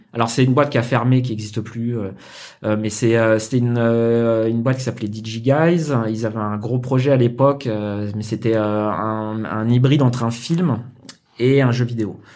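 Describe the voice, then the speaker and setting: Speaking at a fairly slow pace, a man with a medium pitch keeps his intonation fairly even amid audible room echo. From Paris suburbs, France. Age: 40s. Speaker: concept artist. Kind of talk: casual interview.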